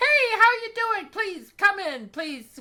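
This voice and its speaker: In a put-on character voice, a female-sounding speaker talks at a fairly slow pace with extremely high pitch. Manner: bubbly, welcoming.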